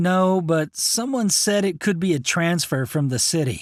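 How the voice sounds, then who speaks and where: A man's put-on character voice, high-pitched with lively intonation, at a moderate pace on a very clean recording with a silent background. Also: very even loudness. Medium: read story. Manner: brisk, matter-of-fact.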